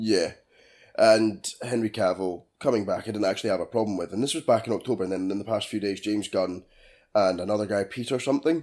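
A man with a British accent, fairly low in pitch, with ordinary pitch variation and a very fast pace. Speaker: film podcast co-host. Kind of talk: casual chat.

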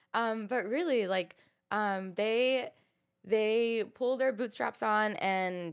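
A woman with an American accent has a plain, everyday voice, ordinary pitch variation and a fairly slow pace. The recording is very clean, with a silent background. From US South (Texas, Arkansas). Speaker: model and content creator. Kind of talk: interview.

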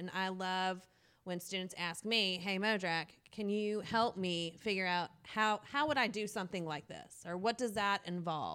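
A woman speaks loud in a medium pitch, her tone bright and sharp. She keeps a moderate pace on a very clean recording with a silent background. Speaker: middle school math teacher. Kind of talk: casual interview chat. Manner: energetic.

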